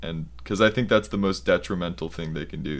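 A man's voice with vocal fry and an American accent. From US Southwest (Arizona). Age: 20s. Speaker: university student. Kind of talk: interview. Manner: halting, many fillers.

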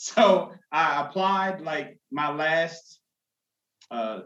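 In an American accent, a man speaks in an ordinary speaking voice, pitched fairly high and varying in an ordinary way. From New Jersey (Jersey City). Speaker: customer service agent and author. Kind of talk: life story interview.

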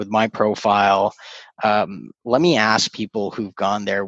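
Speaking with a Canadian accent, a man uses fairly even intonation at a fairly low pitch. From Canada, Scarborough (Toronto); born in Kuwait. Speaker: startup business professional. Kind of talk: casual interview chat. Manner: halting, many fillers and repetitions.

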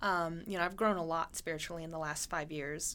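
With an American accent, a woman uses a plain, everyday voice, fairly low in pitch and fairly even in intonation. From Montana, US. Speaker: game designer. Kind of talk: casual chat.

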